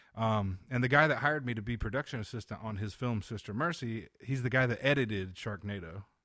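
Here a man has an unremarkable speaking voice, medium in pitch, with ordinary pitch variation. He moves at a fairly quick pace with hardly any pauses, in a very clean recording with a silent background. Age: 30s. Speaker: comedian and touring musician. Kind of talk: casual chat.

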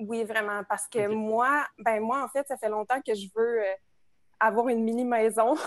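With a dry, close sound with no echo and a quiet background, a woman with fairly high pitch speaks at a moderate pace in a plain, everyday voice with fairly even intonation. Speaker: social work student, house cleaner. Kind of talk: casual chat. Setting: video call.

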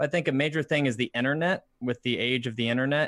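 With an American accent, a man has an ordinary speaking voice, talking at a fairly quick pace with ordinary pitch variation. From Indiana, US. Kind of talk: casual chat. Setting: video call live stream.

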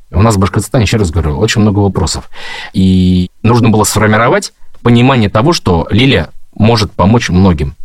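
At a fairly quick pace, a man with an unremarkable speaking voice talks at a fairly low pitch, with ordinary pitch variation and very even loudness. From Bashkortostan, Ufa. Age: 40s. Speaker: husband of a political prisoner. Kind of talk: interview.

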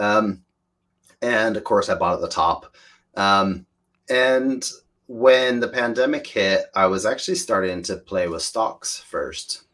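In a very clean recording with a silent background, a man speaks at a very slow pace with a slight American accent. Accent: American, slight, from years abroad. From Washington State, US. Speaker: photographer and DAO contributor. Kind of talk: casual interview.

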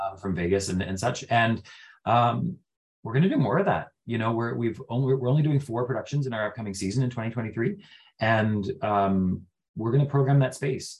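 The speaker has a Western Canadian accent, a somewhat breathy voice, a moderate pace and ordinary pitch variation. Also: man, medium pitch for a man. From Prince George, British Columbia, Canada. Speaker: real estate broker and theatre company owner. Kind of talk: casual interview. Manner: halting, many fillers and repetitions.

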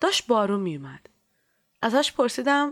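With very wide swings in pitch, this woman keeps her delivery at a moderate speed. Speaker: storyteller and clinic volunteer. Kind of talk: scripted narration.

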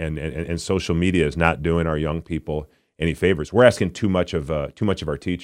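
With an Upper Midwest accent, a man with a very deep, low pitch speaks at a fairly quick pace and fairly even intonation on a very clean recording with a silent background. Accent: Upper Midwest American. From Minnesota. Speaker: former football player, political candidate. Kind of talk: political interview. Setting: studio. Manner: halting, many repetitions.

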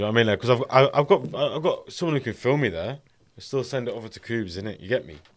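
Vocal fry runs through a man's medium-pitched voice as he speaks at a very fast pace with lively intonation and big swings in loudness. The recording is very clean, with a silent background. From Carlisle, Cumbria, England. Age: 20s. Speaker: rapper. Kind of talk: casual podcast interview. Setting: studio.

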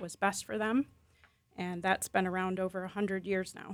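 Speaking in an American accent, a woman with a medium pitch keeps a monotone, flat intonation. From US Midwest, Chicago/Milwaukee area. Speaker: school founder and head. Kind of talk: radio interview.

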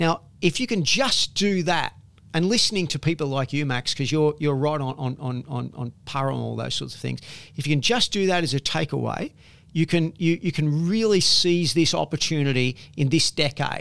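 With an Australian accent, a man speaks at a fairly high pitch. His pitch variation is ordinary. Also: moderate pace. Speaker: property investment author and company founder. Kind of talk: interview. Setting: in person on the Gold Coast. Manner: repetitive, stumbling restarts.

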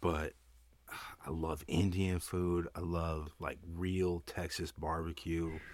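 A very deep, low male voice, monotone and flat, at a very slow pace in a very clean recording with a silent background. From southern Vermont. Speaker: cannabis company co-owner. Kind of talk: casual chat.

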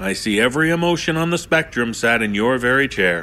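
At a fairly quick pace, a man with a medium pitch uses a warm, theatrical tone that is also bright and sharp, with very wide pitch swings. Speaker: podcast host. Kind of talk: host introduction, theatrical and welcoming. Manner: warm, theatrical, smooth.

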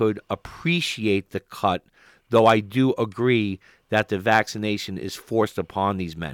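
A man speaks at a medium pitch, the sound dry and close with no echo. The recording is very clean, with a silent background. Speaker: radio host. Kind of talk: heated debate. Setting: studio. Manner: loud, blunt, opinionated; rapid, emphatic, talks over others.

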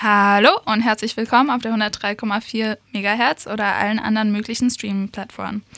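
A woman with fairly high pitch, a bright, sharp tone and monotone, flat intonation, with hardly any pauses. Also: moderate pace. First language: English (speaking German). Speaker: radio host, cultural volunteer. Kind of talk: interview. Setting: radio studio.

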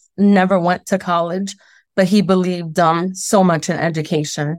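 At a moderate pace, a plain, everyday voice speaks with fairly even intonation and very even loudness. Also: woman. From Brooklyn, New York. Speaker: school principal. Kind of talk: interview. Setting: radio studio interview.

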